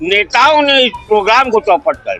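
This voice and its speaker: Over music in the background, a man uses a raised, projected voice with ordinary pitch variation. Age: 60s. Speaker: local resident. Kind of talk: street interview.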